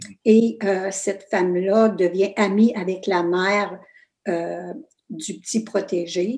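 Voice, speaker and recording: A dark, mellow tone in an Ontario French accent, very slow, with ordinary pitch variation. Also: woman. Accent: Franco-Ontarian French. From northern Ontario, Canada (Fauquier, Kapuskasing). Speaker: author. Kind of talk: interview. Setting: video call.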